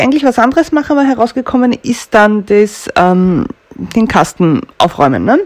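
The tone is slightly mellow. Intonation stays lively throughout. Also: woman.

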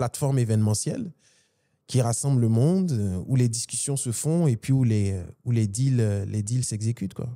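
The voice is a man's, dark and mellow in tone, at a moderate pace. The background is quiet. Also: ordinary pitch variation. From Côte d'Ivoire. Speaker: business executive, event organization president; podcast guest. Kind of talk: interview conversation. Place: studio. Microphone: studio mic.

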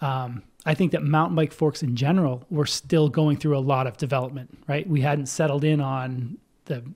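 Somewhat breathy, a man speaks at a moderate pace with ordinary pitch variation over a quiet background. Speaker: podcast guest. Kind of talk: interview answer. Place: home room. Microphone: studio mic.

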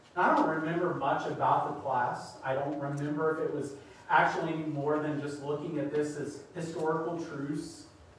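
In a room with strong echo and light background noise, a man speaks at a moderate pace in a flat monotone. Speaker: preacher. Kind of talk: sermon. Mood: light, humorous. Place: church.

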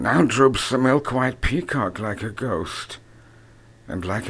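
There is noticeable background noise behind this man. His tone sounds weary. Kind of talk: poetry reading. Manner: languid, world-weary.

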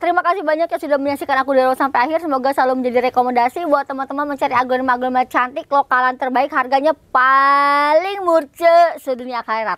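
Over noticeable background noise, a woman talks at a very fast pace with a high pitch, an animated tone and ordinary pitch variation. The sound is dry and close, with no echo. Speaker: plant vlogger shopping for plants. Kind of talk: casual chat while browsing a nursery, haggling over prices. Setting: outdoors at a plant nursery. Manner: fast talker.

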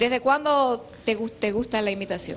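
At a moderate pace, a woman speaks at a fairly high pitch with a fairly bright tone and ordinary pitch variation, over faint background noise.

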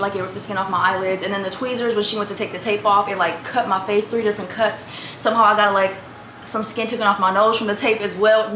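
Talking at a very fast pace, a woman keeps a monotone, flat intonation. There is audible room echo along with light background noise. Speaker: vlogger. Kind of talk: casual vlog chat. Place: kitchen. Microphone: camera far.

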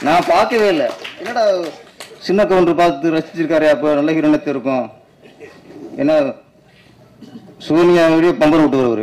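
This man's pitch sits fairly high, with ordinary variation. His loudness stays very even over light background noise. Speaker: film director. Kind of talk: speech at a movie audio launch event. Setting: public event stage. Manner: animated, emphatic. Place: stage. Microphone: podium.

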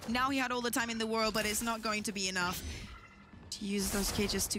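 A woman talks at a very fast pace in a fairly high voice. Music plays in the background. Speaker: esports analyst co-caster, colour commentator. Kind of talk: live esports commentary, analysis. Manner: analytical, explanatory, measured with occasional laughter.

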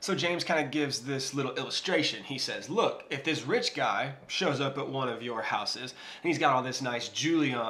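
With hardly any pauses, a man talks at a fairly quick pace with ordinary pitch variation. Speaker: Bible teacher vlogger. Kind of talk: casual Bible teaching. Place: kitchen.

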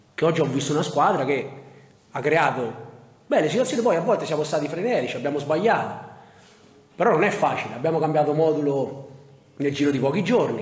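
A man talks at a very fast pace. Room echo can be heard. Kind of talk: press conference answer. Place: hall.

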